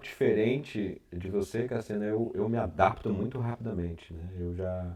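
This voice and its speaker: A man's tone is dark and mellow. His pitch is fairly low, with ordinary variation. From Brasília, Brazil. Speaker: interviewer, artist. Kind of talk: casual interview.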